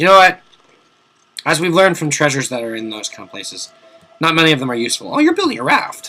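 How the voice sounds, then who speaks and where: Strained and animated, a man speaks at a very fast pace. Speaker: video game let's play commentator. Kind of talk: gameplay commentary. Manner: casual, animated; strained, forced-sounding voice.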